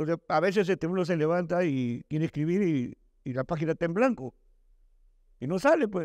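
Against a quiet background, a man with a high voice speaks at a fairly quick pace with ordinary pitch variation in a dry sound with no echo. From Peru. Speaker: writer and journalism teacher; journalism teacher. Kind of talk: Q&A talk with students. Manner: halting, repeats words. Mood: relaxed, conversational. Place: hall. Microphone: handheld.

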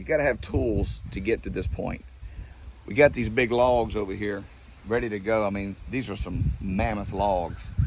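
Vocal fry colors a voice with lively intonation at a moderate pace. The sound is dry with no echo, over noticeable background noise. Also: man. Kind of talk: casual vlog chat. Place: farm machine. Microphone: phone near.

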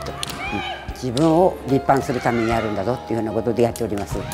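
Clear music sounds behind the speech. The woman talks at a very fast pace. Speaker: naginata federation chairwoman, retired teacher. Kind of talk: interview answer. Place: gym. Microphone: lapel.

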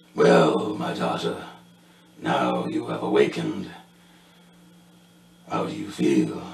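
Using a put-on character voice, a man speaks at a fairly slow pace in a very deep, low, raspy register, with a slight echo. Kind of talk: in-character narration. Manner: regal, cold, commanding.

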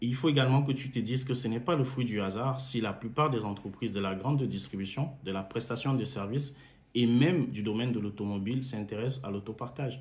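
Somewhat breathy, a man's voice moves with ordinary pitch variation. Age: 30s. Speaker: engineer and car-sharing entrepreneur promoting a course. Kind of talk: sales pitch. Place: home room. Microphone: phone near.

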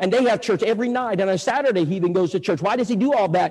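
A man with a Texan accent speaks with ordinary pitch variation. There is noticeable background noise. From Texas, Bulverde near San Antonio. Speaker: evangelist. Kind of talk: sermon. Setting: church with audience.

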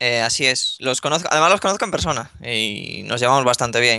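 A man speaks in a bright, sharp tone with a Spanish accent. The sound is dry with no echo. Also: quiet background. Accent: Spanish (Spain). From northern Spain (Ponferrada, León); northern Spain. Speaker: gaming youtuber; gaming youtuber interviewee. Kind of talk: interview. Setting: Skype call. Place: home room. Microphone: video call.

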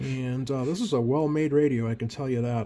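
Somewhat breathy, a man's dark, mellow voice moves at a moderate pace over light background noise. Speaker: radio hobbyist. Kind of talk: casual hobby walkthrough. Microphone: phone near.

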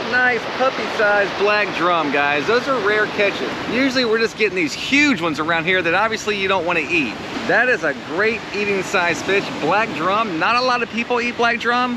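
A man speaks in a raised, projected voice at a moderate pace, with a dry sound with no echo and noticeable background noise. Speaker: fishing guide vlogger. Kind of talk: casual vlog chat. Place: beach. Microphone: phone near.

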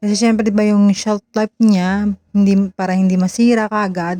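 Through a dry, close sound with no echo, a woman with a dark, mellow tone talks at a moderate pace and medium pitch with fairly even intonation. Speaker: vlogger. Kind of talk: vlog voiceover. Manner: slurred, stumbling speech from a stroke.

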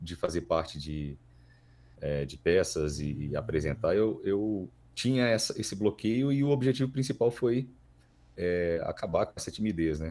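The tone is dark and mellow, with very wide pitch swings and big swings in loudness. The pace is moderate. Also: man. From Minas Gerais, Brazil. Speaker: voice actor. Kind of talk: casual interview.

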